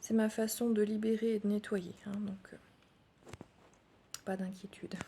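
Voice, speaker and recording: A woman speaks softly at a fairly high pitch, monotone and flat. Her pace is fairly slow, with noticeable background noise. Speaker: energy healer. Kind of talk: guided meditation. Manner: soft-spoken.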